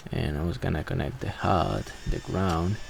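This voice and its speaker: At a fairly slow pace, a man talks. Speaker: electrician. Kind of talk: voiceover narration of work footage.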